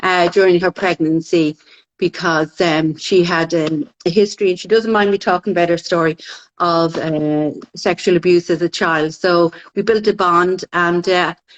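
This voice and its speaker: Her Dublin accent clear, a woman speaks at a fairly low pitch and moderate pace with fairly even intonation and very even loudness. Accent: Irish (Dublin). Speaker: midwife. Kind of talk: casual chat.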